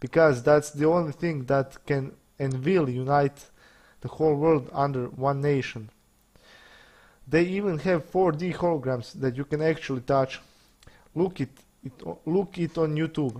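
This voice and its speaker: With a non-native accent, a man speaks at a moderate pace and a fairly high pitch, with ordinary pitch variation and long, frequent pauses. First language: not English. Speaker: conspiracy video maker. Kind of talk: monologue to camera.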